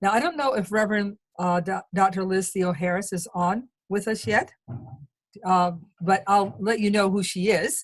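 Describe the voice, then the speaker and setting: Moderate-paced speech from a woman, somewhat breathy. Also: medium pitch for a woman, ordinary pitch variation. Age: 70s. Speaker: activist and webinar moderator. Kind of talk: panel introduction. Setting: video call. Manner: halting.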